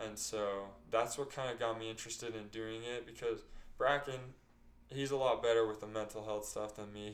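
A man's fairly low, fairly quick voice in an American accent, with audible room echo. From Utah. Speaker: startup employee and podcast co-host. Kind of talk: casual chat.

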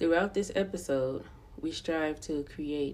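Dark and mellow in tone, the voice moves at a fairly slow pace in an American accent. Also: woman. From US, Los Angeles County, California. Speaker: podcast host. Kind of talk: scripted narration.

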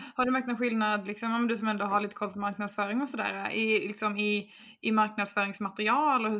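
Fairly quick and fairly high, a woman speaks in a normal speaking voice with fairly even intonation. The recording is very clean, with a silent background. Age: 20s. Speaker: podcast host, marketer. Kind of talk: casual chat.

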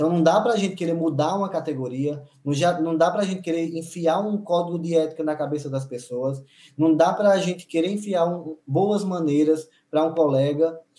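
Speaking at a fairly quick pace, a man uses a high pitch and a dark, mellow tone with ordinary pitch variation. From Paraíba, Brazil (interior). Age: 40s. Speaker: dentist. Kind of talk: casual chat.

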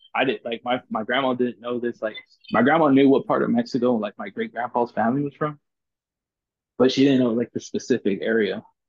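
Speaking in a South Texas accent, a man keeps a medium pitch, fairly even intonation and a fairly quick pace. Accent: South Texas American. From Corpus Christi, Texas. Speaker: football fan. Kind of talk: casual chat.

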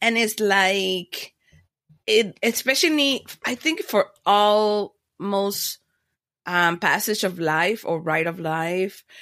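In a Caribbean accent, a woman of medium pitch speaks very slowly. Her tone is bright and sharp, with lively intonation. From Panama, raised in Miami. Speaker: podcaster and former broadcast media planner. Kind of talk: casual interview chat. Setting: video call.

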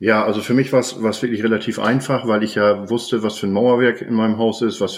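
This man talks at a moderate pace in a fairly low pitch. His intonation is monotone and flat. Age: 50s. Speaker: homeowner, building materials merchant. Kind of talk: casual interview.

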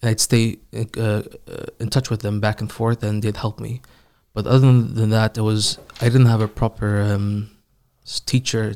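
Monotone, flat intonation from a man with an Iranian accent at a moderate pace, in a dry, close sound with no echo on a very clean recording with a silent background. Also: medium pitch for a man. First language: Farsi. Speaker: Quran reciter. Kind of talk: casual interview.

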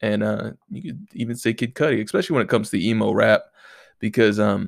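In a very clean recording with a silent background, a man with a fairly low pitch speaks at a fairly quick pace, his voice nasal with vocal fry and ordinary pitch variation.

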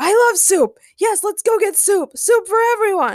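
A woman performs a put-on character voice at an extremely high pitch. Her pitch swings widely up and down. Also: moderate pace.

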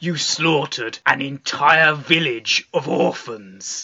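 Using a put-on character voice, a man speaks raspy and fairly high-pitched at a fairly slow pace. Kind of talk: comic podcast overacting. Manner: stern, pompous, mock-solemn.

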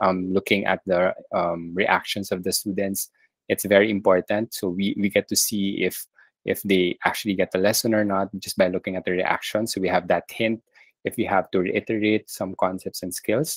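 At a moderate pace, a man talks with monotone, flat intonation in a dry, close sound with no echo. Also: fairly low pitch for a man. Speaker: math teacher. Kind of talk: interview.

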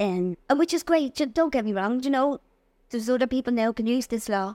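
A woman with a fairly high pitch talks at a very fast pace with ordinary pitch variation. The recording is very clean and dry, close with no echo and a silent background. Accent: Dublin. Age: 50s. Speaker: bereaved mother and anti-bullying campaigner. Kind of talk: testimony. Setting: studio.

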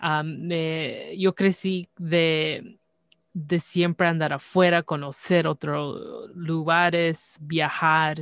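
Very slow and monotone, with flat intonation, a woman speaks at a fairly low pitch. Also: dry, close sound with no echo. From Canada. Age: 30s. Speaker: podcast host. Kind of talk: casual chat.

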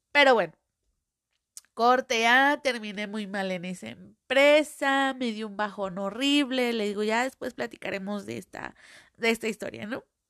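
A woman with a Mexican accent speaks fairly slowly in a fairly high voice, her tone animated and her pitch varying an ordinary amount. Her loudness swings widely, and the recording is dry and close with no echo against a quiet background. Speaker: podcaster. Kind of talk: casual monologue. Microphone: new microphone, audio problems.

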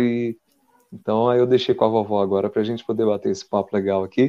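A man is talking. His voice carries a dark, mellow tone. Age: 30s. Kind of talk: casual interview chat.

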